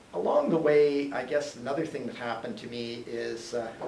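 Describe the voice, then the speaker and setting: There is audible room echo and light background noise as a man speaks with ordinary pitch variation. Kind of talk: informal talk to a group. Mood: relaxed, humorous. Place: classroom. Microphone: camera far.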